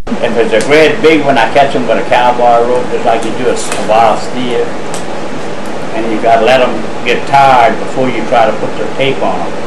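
A man speaks at a moderate pace. Loud background noise sits behind him. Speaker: nuisance alligator hunter. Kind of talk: interview answer. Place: home room.

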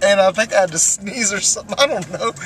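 The sound is dry with no echo, with light background noise behind a man's voice. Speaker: road trip vlogger. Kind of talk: casual vlog chat. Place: car. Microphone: phone near.

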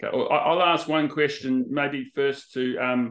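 A man with an Australian accent and ordinary pitch variation over a quiet background. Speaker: business consultant; presenter hosting an information session. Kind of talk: presentation on a video call. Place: home room. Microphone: webcam.

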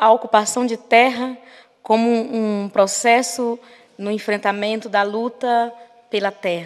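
Against a quiet background, a woman speaks at a fairly slow pace in a fairly high pitch with fairly even intonation. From Brazil, Maranhão. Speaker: activist; speaker. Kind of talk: lecture. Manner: halting. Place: hall. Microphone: podium.

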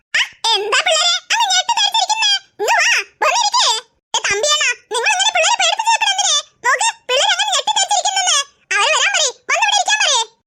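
Very fast and extremely high-pitched, the speech comes in a cartoonish character voice.

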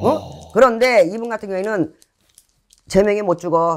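Words come at a fairly quick pace. The recording is very clean, and the background is silent. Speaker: shaman fortune teller. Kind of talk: fortune-telling reading. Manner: casual blunt speech.

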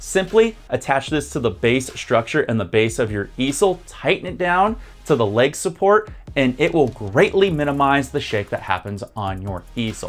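Faint music plays in the background while a man speaks at a moderate pace. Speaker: painting instructor. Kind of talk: tutorial. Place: studio. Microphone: lapel.

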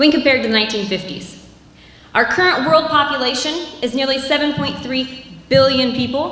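A woman with an American accent at a fairly slow pace, amid audible room echo. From US Midwest. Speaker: agriculture professor. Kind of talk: presentation. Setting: stage with audience. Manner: loud. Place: stage. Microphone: handheld.

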